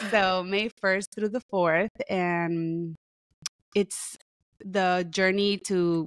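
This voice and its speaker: A woman speaks in a Spanish accent at a very slow pace and medium pitch, with monotone, flat intonation and very even loudness. The sound is dry and close, with no echo. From Puerto Rico. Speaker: therapist and author. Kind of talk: podcast interview.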